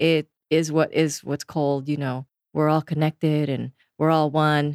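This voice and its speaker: A woman speaks at a moderate pace in a very deep, low pitch. The recording is very clean, with a silent background and a dry, close sound with no echo. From Philippines. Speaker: executive coach and facilitator. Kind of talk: casual interview.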